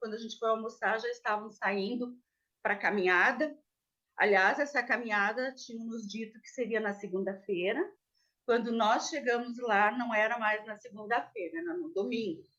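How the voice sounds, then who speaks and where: A woman's bright, sharp, fairly high voice at a moderate pace, with ordinary pitch variation and big swings in loudness. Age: 60s. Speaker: defendant. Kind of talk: testimony. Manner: halting.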